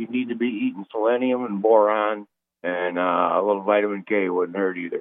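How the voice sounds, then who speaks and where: A man's fairly low voice, a normal speaking voice, at a fairly quick pace with fairly even intonation. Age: 60s. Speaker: caller. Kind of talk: casual chat.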